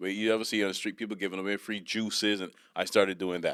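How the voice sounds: With fairly even intonation, a man speaks at a low pitch in a fairly bright tone on a very clean recording with a silent background.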